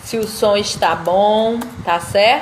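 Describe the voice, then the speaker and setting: With audible room echo and noticeable background noise, a woman speaks at a very slow pace with ordinary pitch variation. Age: 30s. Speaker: law student and live host. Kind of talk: casual live stream chat. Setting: Instagram live video.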